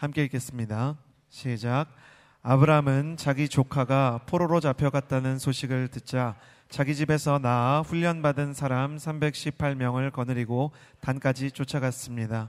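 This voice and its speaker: A man speaks in a normal speaking voice at a medium pitch and a fairly slow pace. The recording is very clean, with a silent background. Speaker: worship service emcee. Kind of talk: formal announcement. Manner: formal.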